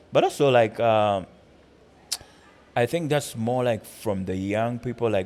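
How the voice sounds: A man speaks with a Ugandan accent at a medium pitch. His pace is fairly slow, and his pitch varies in an ordinary way.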